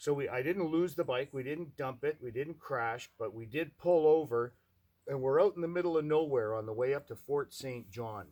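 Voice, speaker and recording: A man speaks in a normal speaking voice, fairly high in pitch. His pace is moderate, with ordinary pitch variation. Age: 60s. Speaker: motorcycle appraiser. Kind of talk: casting self-introduction monologue. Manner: casual, conversational with fillers.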